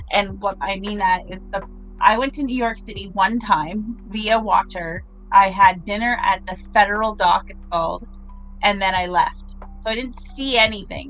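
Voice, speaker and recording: A woman with a Canadian accent at medium pitch and a moderate pace, with ordinary pitch variation and big swings in loudness, over music in the background. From Canada. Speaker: artist. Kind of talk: casual chat.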